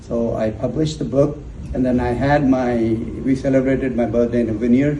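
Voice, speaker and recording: A man talks at medium pitch with fairly even intonation. Room echo is audible, along with noticeable background noise. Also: fairly quick pace. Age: 60s. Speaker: author and motivational speaker. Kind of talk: personal testimony. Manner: halting, repeats words.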